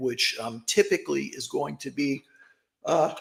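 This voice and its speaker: A man puts on a raspy character voice. He keeps a moderate pace. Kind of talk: professional, explaining health advice.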